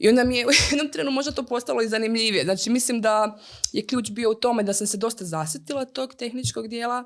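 Over a silent background in a very clean recording, a woman with a fairly high pitch talks at a very fast pace with ordinary pitch variation. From Croatia, Slavonski Brod. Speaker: project manager in gaming. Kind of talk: casual interview. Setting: studio.

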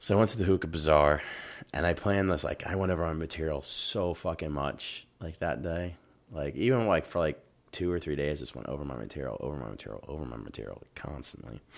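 A man with an American accent talks at a very fast pace with very deep, low pitch and vocal fry. His intonation is lively, with big swings in loudness. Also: very clean recording, silent background. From US Midwest (Dayton, Ohio). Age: 30s. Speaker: stand-up comedian. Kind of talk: casual chat.

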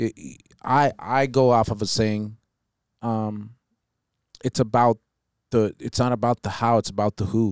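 A man at medium pitch, fairly slow and fairly even in intonation, with long, frequent pauses, on a very clean recording with a silent background and a dry, close sound without echo. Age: 40s. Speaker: podcast host, business owner. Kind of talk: casual chat.

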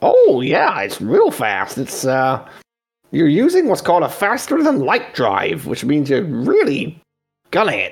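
A man's put-on character voice at a fairly high pitch and fairly slow pace. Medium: actual play. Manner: casual, friendly, slightly cautious.

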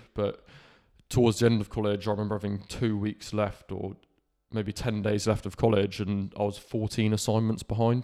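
A man with a Cornish accent talks at a moderate pace in a fairly low pitch. His tone is dark and mellow, and his intonation is monotone and flat. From Cornwall, England. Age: 20s. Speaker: podcaster. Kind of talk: personal monologue.

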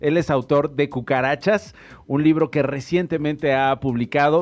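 Moderate tempo, ordinary pitch variation and a plain, everyday voice from a man. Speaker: radio host. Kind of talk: radio talk show.

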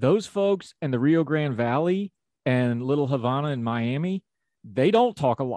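With an Appalachian accent, the speaker has a dark, mellow tone and talks at a fairly slow pace in a dry, close sound with no echo. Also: man, quiet background. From Appalachia, West Virginia.

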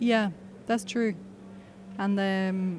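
A woman of medium pitch speaks with a Swiss German accent. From Switzerland, German-speaking north. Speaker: artist. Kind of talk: casual chat. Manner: hesitant, many fillers.

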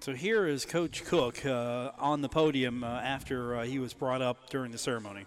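A man with a plain, everyday voice talks at a medium pitch with ordinary pitch variation. His pace is moderate, with hardly any pauses. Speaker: radio sports host. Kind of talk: casual sports talk radio. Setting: live radio broadcast from a pub.

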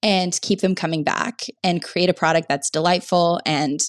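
On a very clean recording with a silent background, a woman with an ordinary speaking voice and fairly low pitch talks at a moderate pace in a dry, close sound with no echo. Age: 20s. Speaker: startup founder. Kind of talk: interview.

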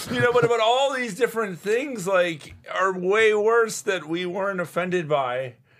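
Fairly slow yet with hardly any pauses, a man with an American accent speaks high-pitched with lively intonation over noticeable background noise. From South Florida. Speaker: comedian. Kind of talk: casual chat. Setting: studio.

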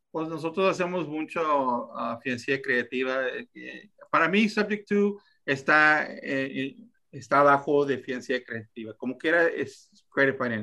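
A man talks at a fairly slow pace in a bright, sharp tone. His speech has long, frequent pauses. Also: fairly high pitch for a man, lively intonation. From Texas, US. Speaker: real estate investor. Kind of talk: podcast interview. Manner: halting.

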